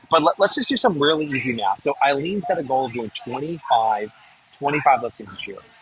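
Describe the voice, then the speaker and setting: Music plays in the background as a man speaks at a fairly quick pace and fairly high pitch. His intonation is lively, with big swings in loudness. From New Hampshire, US. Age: 40s. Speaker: real estate marketing expert and author. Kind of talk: webinar presentation. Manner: fast.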